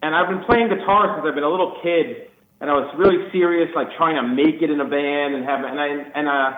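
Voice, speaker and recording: A man with a New York accent speaks at a fairly quick pace. His pitch is fairly high and varies in an ordinary way. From New York City, Queens. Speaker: band guitarist. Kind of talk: radio interview. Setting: phone call.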